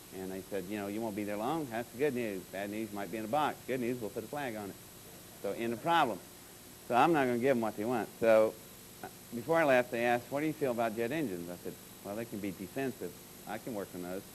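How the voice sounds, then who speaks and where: Speaking very fast, this man has an American accent. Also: medium pitch for a man, ordinary pitch variation. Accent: Georgia accent, mostly suppressed on stage. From Georgia, US South. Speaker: aerospace consultant and speaker. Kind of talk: conference talk. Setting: stage with audience. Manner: animated storytelling.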